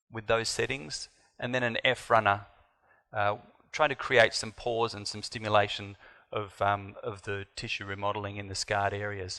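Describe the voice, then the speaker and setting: Speaking at a moderate pace, a man with an Australian accent has a bright, sharp tone. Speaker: doctor. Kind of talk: conference talk.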